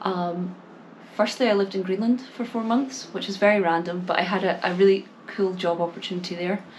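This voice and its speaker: A woman with a Scottish accent at a medium pitch and moderate pace, with audible room echo and noticeable background noise. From Scotland. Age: 20s. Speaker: English teacher and small YouTuber. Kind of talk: talking-to-camera vlog. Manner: hesitant, many fillers and repeats.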